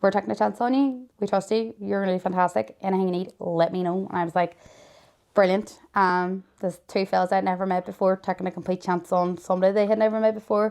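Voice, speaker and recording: A woman talks very fast in a Derry accent. Her pitch is medium, with ordinary variation. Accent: Northern Irish (Derry). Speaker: mother of a child with a serious illness. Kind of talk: interview. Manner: loud; animated.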